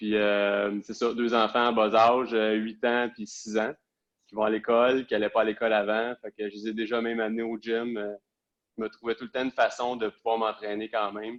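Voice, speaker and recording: In a Quebec accent, a man speaks at a medium pitch and a moderate pace with monotone, flat intonation and a dry, close sound with no echo. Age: 30s. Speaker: police officer. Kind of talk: interview. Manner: hesitant, many fillers.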